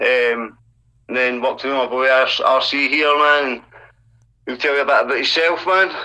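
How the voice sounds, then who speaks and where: In a Scottish accent, a man speaks at medium pitch. He leaves long, frequent pauses. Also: fairly even intonation, moderate pace. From Scotland, Dumbarton near Glasgow. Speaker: hip hop artist. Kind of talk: casual interview. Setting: call with guest.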